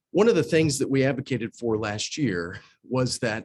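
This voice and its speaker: At a moderate pace and medium pitch, a man speaks in an unremarkable speaking voice, captured in dry, close sound with no echo. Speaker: school division finance official presenting policy priorities. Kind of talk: presentation with slides.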